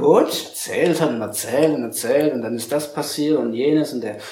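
Audible room echo and noticeable background noise accompany a man at medium pitch who speaks at a fairly slow pace with ordinary pitch variation. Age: 40s. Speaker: media design company director and youth coach. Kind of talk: interview. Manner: halting.

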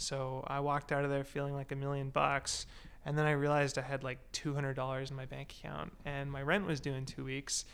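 A man with a Canadian accent and a fairly high pitch speaks at a fairly quick pace on a very clean recording with a silent background. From Canada (British Columbia). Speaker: tech company CEO. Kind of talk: casual chat.

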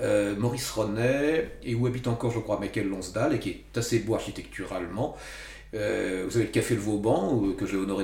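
With noticeable background noise and audible room echo, a man speaks at a moderate pace. His pitch is fairly low, with ordinary variation. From Paris region, France. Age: 60s. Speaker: author. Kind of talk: interview.

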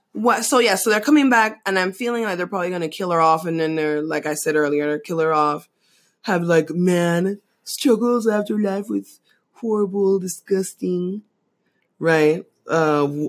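With an American accent, a woman speaks in a plain, everyday voice at a fairly low pitch, with lively intonation and a moderate pace. The recording is very clean, with a silent background. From outside the US. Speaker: podcast co-host. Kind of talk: casual chat.

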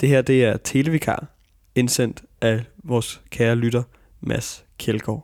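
Speaking at a very slow pace, a man keeps a medium pitch, fairly even intonation and very even loudness. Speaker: radio host. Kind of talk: casual chat.

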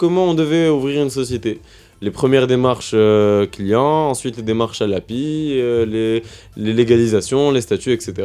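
Music plays in the background while a man of medium pitch speaks at a moderate pace with lively intonation. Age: 20s. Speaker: student entrepreneur. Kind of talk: interview.

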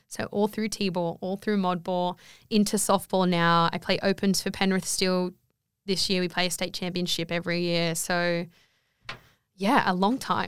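A woman with an Australian accent, flat monotone intonation and a moderate pace, on a very clean recording with a silent background. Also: medium pitch for a woman. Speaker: guest. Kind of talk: casual chat.

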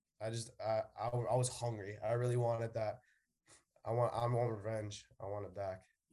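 Using an American accent, a man speaks at a medium pitch and moderate pace. His intonation is monotone and flat, his tone dark and mellow. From New York City, the Bronx. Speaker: college baseball player. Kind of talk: interview.

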